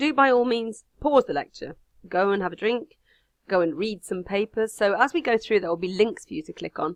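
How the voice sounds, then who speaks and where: With an English Midlands accent, a woman talks at a very fast pace with lively intonation, in a dry, close sound with no echo. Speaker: university lecturer. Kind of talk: recorded online lecture.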